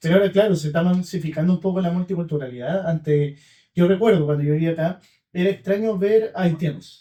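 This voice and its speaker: A man with a high pitch and a dark, mellow tone at a very fast pace. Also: fairly even intonation. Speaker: podcast host. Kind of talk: casual conversation.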